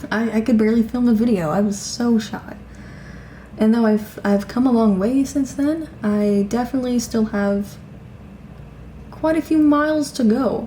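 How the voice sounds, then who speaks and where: A woman's moderate-tempo speech is accompanied by noticeable noise in the background. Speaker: vlogger. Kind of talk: casual vlog monologue. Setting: at home.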